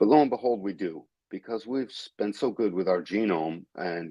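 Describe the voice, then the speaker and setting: Speech at a moderate pace in a New England accent. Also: man. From New England, Westfield, Massachusetts. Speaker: human design teacher. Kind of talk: interview on a live stream. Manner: halting, many fillers and restarts.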